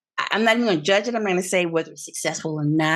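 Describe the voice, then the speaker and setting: Words tumble out at a very fast pace. The intonation rises and falls in a lively way. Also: woman. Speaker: author and former TV journalist. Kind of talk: interview.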